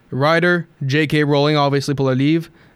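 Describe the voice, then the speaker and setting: The recording is very clean, with a silent background. A man with a fairly high pitch speaks in monotone, flat intonation. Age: 20s. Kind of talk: casual chat.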